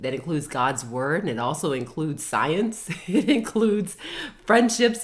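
This woman talks at a moderate pace with an American accent, her pitch swinging very widely. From US, Baltimore, Maryland. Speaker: mental health therapist and educator. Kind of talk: casual group Bible study discussion.

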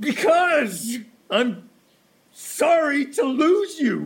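A very slow pace and high pitch mark this put-on character voice.

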